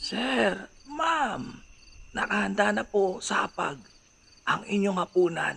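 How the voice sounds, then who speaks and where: This put-on character voice moves very slowly and swings very widely in pitch. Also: man, high pitch for a man. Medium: read story. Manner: polite, deferential.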